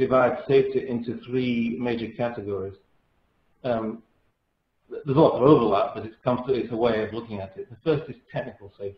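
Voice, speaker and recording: Somewhat breathy and medium in pitch, a man talks at a fairly quick pace with a European accent. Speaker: safety engineering consultant. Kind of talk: webinar presentation. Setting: webinar, remote. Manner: hesitant, frequent fillers.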